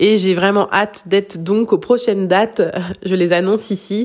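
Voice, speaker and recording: A woman at medium pitch, fairly slow and fairly even in intonation, over noticeable background noise. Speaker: hypnotherapist. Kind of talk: recorded voice message update. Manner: halting, repetitions.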